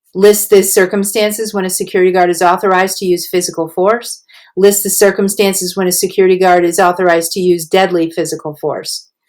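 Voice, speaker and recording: Speaking at a very fast pace with hardly any pauses, a woman keeps a medium pitch and a monotone, flat intonation. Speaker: teacher. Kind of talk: lecture.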